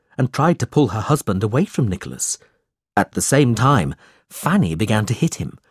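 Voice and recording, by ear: Reading aloud in a natural voice, the speaker uses lively intonation against a quiet background.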